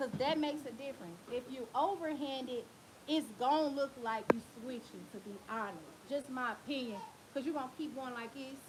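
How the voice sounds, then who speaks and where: Loud and animated, a woman speaks at a moderate pace in a high pitch with lively intonation. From Tennessee. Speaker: hair braider. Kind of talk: livestream tutorial. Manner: casual, animated.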